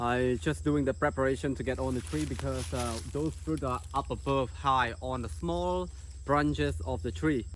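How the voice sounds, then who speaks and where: The voice has a Cambodian accent and vocal fry. Its pitch swings very widely at a moderate pace. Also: man, very deep, low pitch for a man. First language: Khmer. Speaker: outdoor tour guide and vlogger. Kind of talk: outdoor vlog narration. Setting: outdoors in rainforest.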